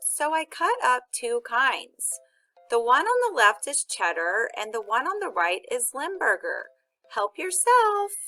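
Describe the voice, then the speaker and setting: A woman's squeaky, put-on character voice at an extremely high pitch, with very wide pitch swings and a fairly slow pace, over music in the background. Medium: read story.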